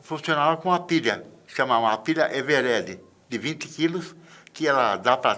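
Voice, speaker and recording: With a bright, sharp tone, a man speaks at a moderate pace and a fairly high pitch. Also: ordinary pitch variation. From rural Brazil. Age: 70s. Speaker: metallurgist. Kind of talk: interview testimony. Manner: halting.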